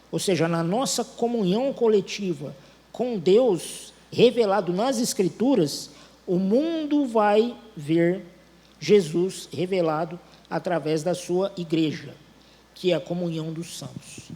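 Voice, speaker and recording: Very slowly, a man speaks in a high pitch. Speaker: preacher. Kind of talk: sermon. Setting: church.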